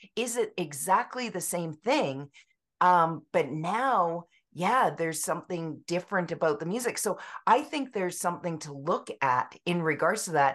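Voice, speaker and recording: A plain, everyday voice from a woman with a Canadian accent, at a moderate pace with lively intonation, over a quiet background. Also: fairly low pitch for a woman. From British Columbia, Canada. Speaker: music therapist and author. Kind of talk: interview.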